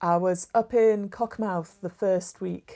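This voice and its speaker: A woman with a dark, mellow tone speaks in a fairly even intonation on a very clean recording with a silent background. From northern England, Newcastle. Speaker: maths educator and county councillor. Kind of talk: casual livestream chat.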